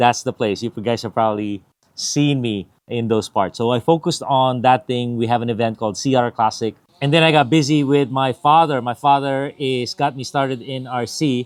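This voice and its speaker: On a very clean recording with a silent background and a dry, close sound with no echo, a man talks at a moderate pace and medium pitch in an unremarkable speaking voice with ordinary pitch variation. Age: 50s. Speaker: RC product reviewer, YouTuber. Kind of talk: casual vlog update. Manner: casual, with many fillers.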